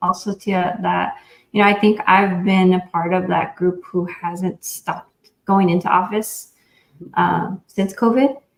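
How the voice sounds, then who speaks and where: A woman talks at a fairly slow pace with ordinary pitch variation. Hers is an unremarkable speaking voice. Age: young. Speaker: food industry panelist. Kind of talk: panel discussion.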